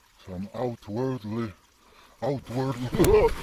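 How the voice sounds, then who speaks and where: A man speaks over noticeable background noise. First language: Polish. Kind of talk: casual nature vlog narration.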